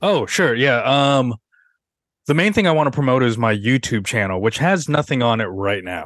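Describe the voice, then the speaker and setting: A man speaks with an American accent against a quiet background. His pitch swings very widely. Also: medium pitch for a man, moderate pace. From Seattle, US Pacific Northwest. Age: 30s. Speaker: stand-up comedian. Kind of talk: casual interview chat.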